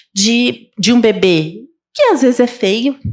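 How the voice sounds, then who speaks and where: On a very clean recording with a silent background, a woman speaks fairly slowly at a fairly high pitch with lively intonation. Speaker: pediatrician and neonatologist. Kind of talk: conference talk. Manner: halting, self-correcting.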